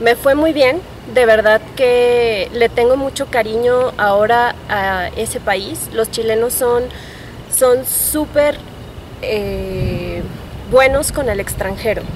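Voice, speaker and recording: Someone speaks very slowly in a central Mexican accent with ordinary pitch variation. Noticeable background noise is present. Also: woman. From Mexico, Guanajuato. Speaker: public health graduate student. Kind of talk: interview testimony.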